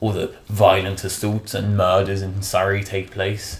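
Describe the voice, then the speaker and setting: A man in a southern English accent, fairly low in pitch, at a fairly slow pace. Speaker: vlogger. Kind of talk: comedic vlog rant. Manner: animated; sarcastic.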